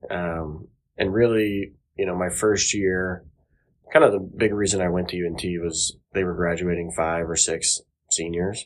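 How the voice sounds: Low-pitched and at a fairly slow pace, a man speaks with fairly even intonation.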